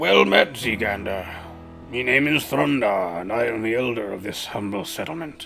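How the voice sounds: A man speaks at a moderate pace in a rumbling, put-on character voice of medium pitch. Music plays clearly in the background.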